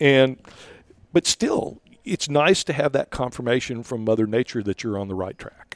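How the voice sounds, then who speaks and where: A man with an ordinary speaking voice talks at a moderate pace and medium pitch, with lively intonation. The sound is dry and close with no echo, and his loudness swings widely. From Rio Grande Valley, Texas. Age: 60s. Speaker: reef conservation volunteer leader. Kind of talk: casual interview. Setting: hotel in Austin.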